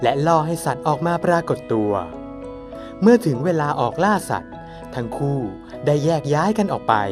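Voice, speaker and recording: Music plays behind a man whose voice is fairly high. He speaks with lively intonation and big swings in loudness. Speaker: voice actor. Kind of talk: folk tale narration introducing a town.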